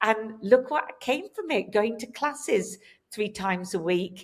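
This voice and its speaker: A woman with an English accent speaks at a medium pitch. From England. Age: 60s. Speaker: hairdresser and hair color educator. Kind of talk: podcast interview.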